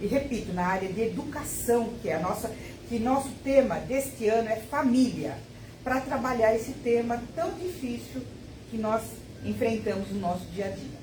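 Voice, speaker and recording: Amid noticeable background noise and audible room echo, a woman speaks at a moderate pace with a fairly high pitch and lively intonation. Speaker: spiritist center volunteer. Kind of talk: announcement.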